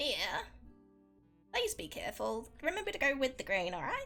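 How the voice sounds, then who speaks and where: A female-sounding voice puts on a high-pitched character voice at a moderate pace, with faint music in the background. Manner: caring, gently cautioning.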